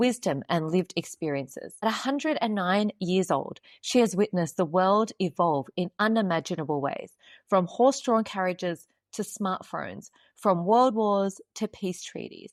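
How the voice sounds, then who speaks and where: Recorded very cleanly with a silent background and a dry, close sound with no echo, a woman has a normal speaking voice, medium pitch, lively intonation and a moderate pace. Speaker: podcast host. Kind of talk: podcast introduction.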